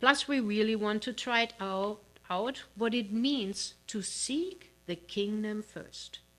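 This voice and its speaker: A woman with a non-native accent speaks very slowly at a fairly high pitch, her pitch varying in an ordinary way, on a very clean recording with a silent background. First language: not English. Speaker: minister. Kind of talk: sermon. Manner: halting, with fillers.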